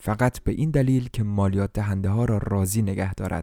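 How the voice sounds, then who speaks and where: A man's fairly low, dark, mellow voice at a moderate pace with fairly even intonation, in a very clean recording over a silent background. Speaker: audiobook narrator. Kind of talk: literary audiobook reading, scripted narration of a translated novel. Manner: measured, flowing first-person storytelling, shifting into dramatic emphasis for dialogue.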